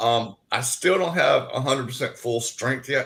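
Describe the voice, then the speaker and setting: A man with a Southern US accent talks at a medium pitch. His intonation is lively and his pace moderate. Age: 60s. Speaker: paranormal investigator and cancer survivor. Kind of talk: interview.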